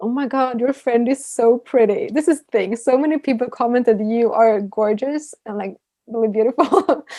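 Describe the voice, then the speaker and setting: A woman speaks at a moderate pace with a Swedish accent, her high voice dark and mellow in tone, with ordinary pitch variation and big swings in loudness. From Sweden. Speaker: YouTuber. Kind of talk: casual chat.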